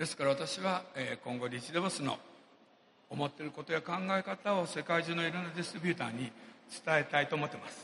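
Against noticeable background noise, a man with a fairly high voice rushes at a very fast pace, broken by long, frequent pauses, his loudness swinging widely. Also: ordinary pitch variation. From Japan. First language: Japanese (speaking Portuguese). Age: 60s. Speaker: businessman. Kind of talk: motivational speech. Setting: stage with audience.

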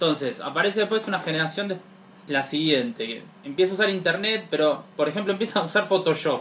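Spoken at a very fast pace with a Rioplatense accent, the voice shows ordinary pitch variation over noticeable background noise. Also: man, high pitch for a man. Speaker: podcast co-host. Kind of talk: casual chat.

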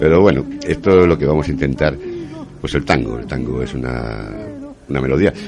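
A man speaks with a very deep, low pitch and ordinary pitch variation at a fairly quick pace. Long, frequent pauses break up his speech, and there is noticeable background noise. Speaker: community radio host. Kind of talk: casual radio chat.

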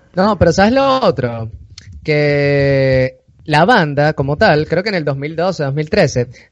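Fairly high male voice with a Venezuelan accent and ordinary pitch variation. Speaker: podcast host. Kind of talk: casual chat. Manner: animated.

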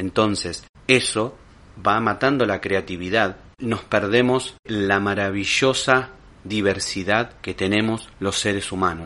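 Fairly low-pitched, a man talks at a very slow pace with fairly even intonation. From Argentina, Lomas de Zamora (Buenos Aires province). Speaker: podcast host. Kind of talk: monologue commentary.

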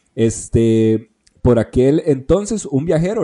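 A man with a Costa Rican accent speaks at a fairly high pitch. His tone is dark and mellow, with very wide pitch swings. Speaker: podcast host. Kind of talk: history narration; casual chat.

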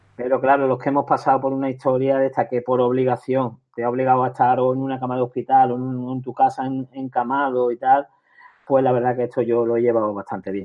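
A man speaks at a very fast pace in a medium pitch. His intonation is monotone and flat. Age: 50s. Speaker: author and retired teacher with cancer. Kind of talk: interview.

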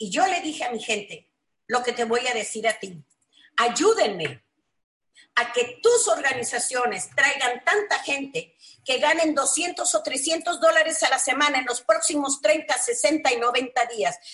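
A woman speaks high-pitched at a fairly slow pace with lively intonation. Her tone is bright, sharp and animated. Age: 60s. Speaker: network marketing leader. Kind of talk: motivational webinar talk. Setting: online webinar.

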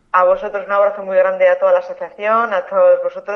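The woman's speech rushes along at a very fast pace. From Tudela, Navarre, Spain. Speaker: author. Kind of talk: interview.

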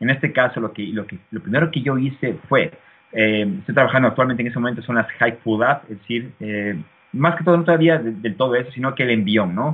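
This man has an unremarkable speaking voice at medium pitch. He talks at a fairly quick pace with lively intonation. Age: 30s. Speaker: fitness YouTuber. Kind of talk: interview.

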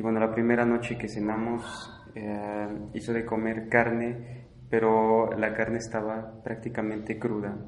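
Over noticeable background noise and audible room echo, a man speaks fairly slowly in a flat monotone at a medium pitch. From Mexico. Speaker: exchange student. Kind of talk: interview testimony.

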